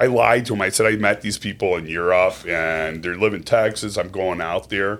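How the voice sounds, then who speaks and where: With hardly any pauses, a man speaks at a moderate pace in a plain, everyday voice, his fairly low pitch showing ordinary variation. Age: 40s. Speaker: podcast co-host. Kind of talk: casual chat.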